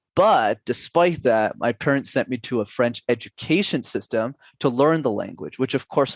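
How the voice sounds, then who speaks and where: An ordinary speaking voice moves at a moderate pace with lively intonation and hardly any pauses. The recording is very clean with a silent background, and the sound is dry and close with no echo. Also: man. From Canada, Montreal. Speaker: public speaking coach. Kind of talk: podcast interview.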